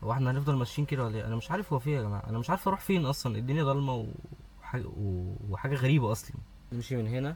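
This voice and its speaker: A man talks at a very fast pace with lively intonation. Noticeable background noise sits behind him. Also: medium pitch for a man. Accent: Egyptian. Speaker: gaming youtuber. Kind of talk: let's play commentary.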